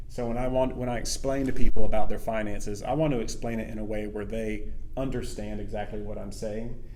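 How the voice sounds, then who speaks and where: There is audible room echo as a man with an American accent rushes at a very fast pace with big swings in loudness. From US South, small town. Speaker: financial advisor. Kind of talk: casual interview.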